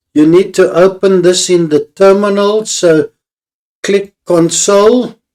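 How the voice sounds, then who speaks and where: Speech comes at a very slow pace in a Dodecanese Greek accent. Intonation is fairly even and loudness very even. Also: man, high pitch for a man. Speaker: tech tutorial maker. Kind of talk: tutorial.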